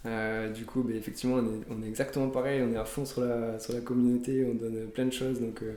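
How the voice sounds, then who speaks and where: A man with a medium pitch and a dark, mellow tone, monotone, flat intonation, a moderate pace, and audible room echo. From southern France (Toulouse). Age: 30s. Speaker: app developer and card collector. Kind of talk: interview. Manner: hesitant, many fillers.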